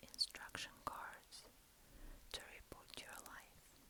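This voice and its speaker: Someone whispers at a very slow pace. There is noticeable noise in the background. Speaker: ASMR creator. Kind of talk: ASMR reading of instruction cards. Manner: whispered.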